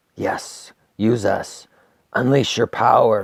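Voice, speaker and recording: A man whispers in a raspy, put-on character voice. He goes at a very slow pace. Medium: actual play. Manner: whispering, insistent.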